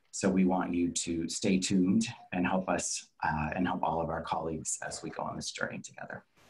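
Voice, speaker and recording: The speaker talks at a fairly quick pace in an American accent, somewhat breathy, with monotone, flat intonation. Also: man, very deep, low pitch for a man. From Texas, Dallas. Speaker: travel industry professional, panelist. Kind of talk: presentation.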